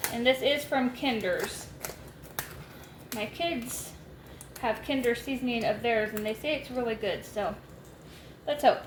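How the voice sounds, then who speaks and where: A loud voice with ordinary pitch variation moves at a fairly slow pace over noticeable background noise. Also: woman. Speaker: homestead cooking vlogger. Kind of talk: cooking tutorial.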